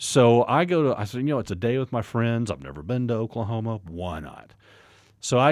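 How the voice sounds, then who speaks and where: A man with a plain, everyday voice and medium pitch speaks at a moderate pace. The recording is very clean with a silent background. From Texas, Fort Worth suburb. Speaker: pastor and ministry director. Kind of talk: testimony.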